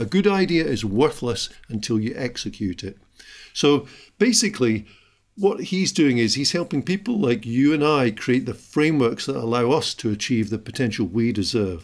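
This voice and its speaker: In a very clean recording with a silent background, a man at medium pitch talks at a moderate pace with very wide pitch swings. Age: 50s. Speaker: business podcast host. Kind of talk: solo podcast monologue.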